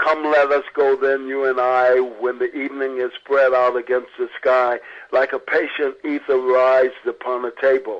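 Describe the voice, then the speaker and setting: A man performs in a put-on character voice that sounds resonant at a medium pitch. He keeps a moderate pace with hardly any pauses. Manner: reading poetry aloud.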